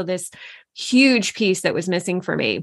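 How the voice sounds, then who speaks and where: A woman has an unremarkable speaking voice at a medium pitch. She talks at a moderate pace against a quiet background. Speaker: coach and business co-founder. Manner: casual, conversational with fillers.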